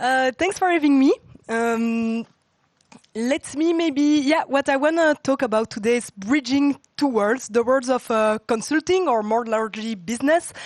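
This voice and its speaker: A woman speaks with high pitch and lively intonation at a fairly slow pace. Her loudness stays very even, and the sound is dry and close with no echo. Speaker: tech talk speaker, former consultant. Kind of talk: conference talk. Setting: stage with audience.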